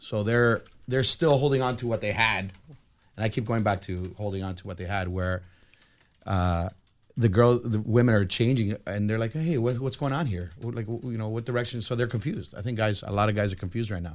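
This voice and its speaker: This man has a normal speaking voice at a fairly low pitch. He talks at a fairly quick pace with ordinary pitch variation. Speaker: married guest. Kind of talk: casual panel chat.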